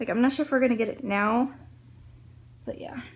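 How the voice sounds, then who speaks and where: A woman speaks quietly in a somewhat breathy voice. Her pace is fairly quick. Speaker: vlogger. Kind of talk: casual vlog. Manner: hushed.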